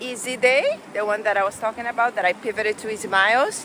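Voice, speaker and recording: Noticeable background noise behind a woman, her pitch fairly high and varying in an ordinary way. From Brazil. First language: Portuguese. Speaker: amateur runner vlogger. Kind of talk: casual vlog narration. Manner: hesitant, many fillers.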